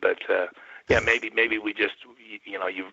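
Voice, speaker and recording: At a moderate pace, a man speaks. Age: 50s. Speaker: retired land surveyor, guest. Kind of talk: interview testimony. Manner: halting, many restarts.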